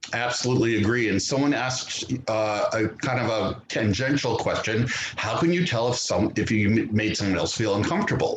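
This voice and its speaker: Amid noticeable background noise, a man with an American accent speaks at a fairly quick pace and medium pitch, with hardly any pauses, very even loudness and ordinary pitch variation. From US South, Georgia. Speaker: panel moderator. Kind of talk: panel discussion.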